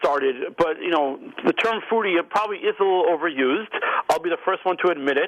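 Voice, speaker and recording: A man with an American accent and a high voice talks at a fairly quick pace with ordinary pitch variation over noticeable background noise. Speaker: restaurant magazine publisher. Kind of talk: radio interview.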